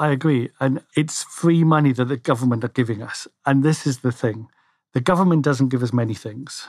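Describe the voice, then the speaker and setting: Someone with a Scottish accent speaks at a moderate pace with ordinary pitch variation. The recording is very clean with a silent background and has a dry, close sound with no echo. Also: man, medium pitch for a man. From Scotland. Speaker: financial planner. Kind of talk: casual chat. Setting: studio. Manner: halting, many fillers.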